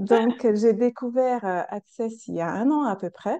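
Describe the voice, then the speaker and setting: A woman speaks with a slight non-native accent and a dark, mellow tone. Her pitch varies in an ordinary way against a quiet background. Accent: foreign accent, slight. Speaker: coach and practitioner. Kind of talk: casual interview. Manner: hesitant, many fillers.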